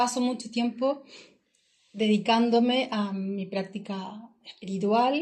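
This woman talks at a very slow pace in a fairly high pitch. Her voice is somewhat breathy, with ordinary pitch variation. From southern Chile (Chillán). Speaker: travel entrepreneur. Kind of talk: casual interview. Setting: in person, recording in Nepal.

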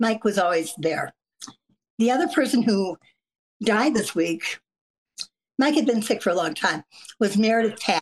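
A woman's fairly high voice with lively intonation, a moderate pace and long, frequent pauses, very even in loudness, with a dry, close sound and no echo. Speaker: political analyst. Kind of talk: casual interview conversation. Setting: video call.

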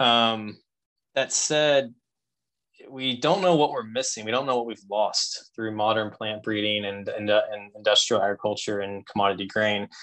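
Using an unremarkable speaking voice with an American accent, a man talks at a moderate pace with fairly low pitch and ordinary pitch variation. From US South, Louisville, Kentucky. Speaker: bourbon distiller and author. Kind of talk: casual interview chat.

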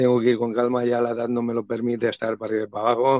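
At a very fast pace, a man talks in a medium pitch with a monotone, flat intonation. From Valencia region, Spain. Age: 50s. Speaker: bullfighting YouTuber. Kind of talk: interview. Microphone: poor audio, host's voice overlapping.

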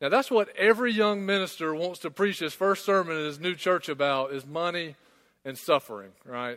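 A high-pitched man with a Southern US accent, bright, sharp tone, lively intonation and moderate pace, on a very clean recording with a silent background. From small-town South Carolina. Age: 20s. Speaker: pastor. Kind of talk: sermon.

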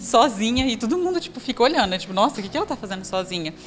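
Noticeable background noise sits behind a woman whose voice is fairly high-pitched. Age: 20s. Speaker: businesswoman. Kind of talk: motivational talk.

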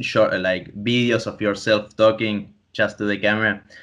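A man with a Spanish accent, against a quiet background. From Argentina (Tandil, Buenos Aires province). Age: 20s. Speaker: podcast host, comic artist and student. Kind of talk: casual chat. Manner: halting.

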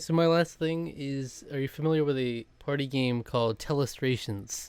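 A man speaks in a normal speaking voice at a moderate pace, his fairly high pitch carried on fairly even intonation with hardly any pauses. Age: 20s. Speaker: podcast co-host. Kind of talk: casual chat.

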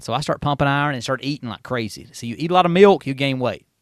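A man with a South Carolina accent, medium pitch, lively intonation and a very fast pace, in a dry, close sound with no echo against a quiet background. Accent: Southern US (South Carolina). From Upstate South Carolina (Union). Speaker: assistant pastor. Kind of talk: testimony; casual interview.

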